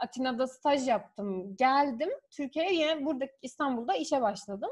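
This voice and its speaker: Her pitch high and varying in an ordinary way, a woman is speaking. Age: 20s. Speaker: guest, office worker. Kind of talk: casual chat.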